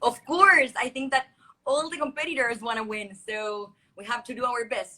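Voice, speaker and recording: A woman with a Chilean Spanish accent, a high pitch, a bright, sharp tone, ordinary pitch variation and big swings in loudness, at a moderate pace. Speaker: beauty pageant contestant. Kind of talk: live coaching video call. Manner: halting.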